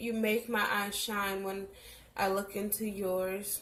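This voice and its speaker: Speaking at a very slow pace, a woman holds a medium pitch in a flat, monotone intonation. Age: 20s. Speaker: vlogger. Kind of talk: reading aloud; casual chat.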